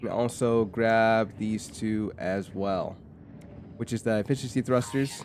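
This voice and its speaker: Over music in the background, a man talks at a fairly slow pace in a medium pitch with fairly even intonation. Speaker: gaming YouTuber. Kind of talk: game walkthrough commentary. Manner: casual, with self-corrections.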